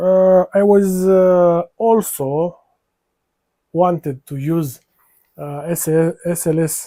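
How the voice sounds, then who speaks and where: Here a man speaks with a high pitch and a dark, mellow tone. His intonation stays fairly even. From North Africa. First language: not English; English is fourth language. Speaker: 3D printing YouTuber. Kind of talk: live stream build tutorial. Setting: live stream. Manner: halting, many fillers.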